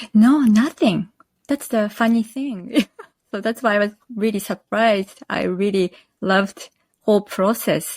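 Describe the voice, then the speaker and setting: A woman's fairly high voice with a Japanese accent, fairly slow pace and ordinary pitch variation, in a dry, close sound with no echo. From northern Japan, Akita. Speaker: quilt pattern designer. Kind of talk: interview. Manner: halting.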